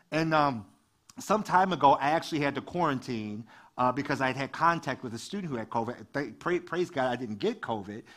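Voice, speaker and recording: A man's fairly high-pitched voice with an American accent, lively intonation and an animated tone at a fairly quick pace, on a very clean recording with a silent background. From US Midwest, Detroit. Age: 40s. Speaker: youth ministry director and guest preacher. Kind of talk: lively, joking church sermon delivered to a live congregation. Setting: church service with congregation and livestream. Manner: animated, conversational and chatty, quick asides and laughs; call-and-response, prodding the congregation for amens.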